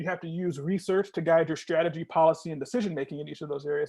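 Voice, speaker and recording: Against a quiet background, a man talks at a very fast pace with a high pitch and fairly even intonation. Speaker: nonprofit program manager. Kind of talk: virtual presentation to students. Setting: video call.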